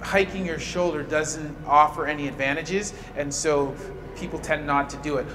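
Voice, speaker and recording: A man talks at a fairly slow pace with ordinary pitch variation over light background noise. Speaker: physical therapy instructor. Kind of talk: tutorial. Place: gym. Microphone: camera far.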